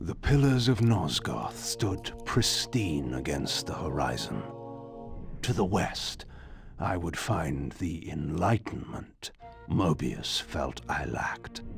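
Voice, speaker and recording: A put-on character voice from a man, very deep and low, with very wide pitch swings at a fairly slow pace over clear background music. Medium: game stream. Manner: imperious, deliberate.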